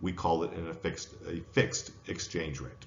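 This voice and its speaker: A man talks with an American accent. Room echo is audible. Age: 60s. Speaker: professor. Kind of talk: lecture.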